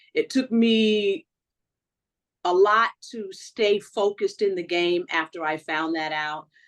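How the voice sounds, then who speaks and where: A woman with a medium pitch and ordinary pitch variation speaks at a very slow pace, leaving long, frequent pauses. The background is quiet. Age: 60s. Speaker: reality TV contestant. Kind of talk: interview.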